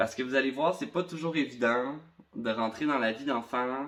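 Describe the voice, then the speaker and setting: Speaking with a Quebec accent, a man has a medium pitch. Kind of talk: talk to camera about personal experience.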